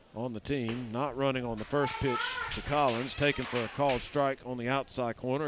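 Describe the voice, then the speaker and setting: With music in the background, a man speaks at a moderate pace, his medium-pitched voice keeping fairly even intonation. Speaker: baseball play-by-play announcer. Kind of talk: live baseball play-by-play commentary with color analysis. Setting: stadium broadcast booth with headsets. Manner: measured, explanatory pitch-by-pitch delivery.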